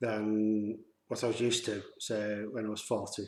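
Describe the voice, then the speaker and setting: This is a man talking in a Yorkshire accent. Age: 50s. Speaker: vlogger. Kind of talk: personal testimony vlog. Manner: halting, many fillers.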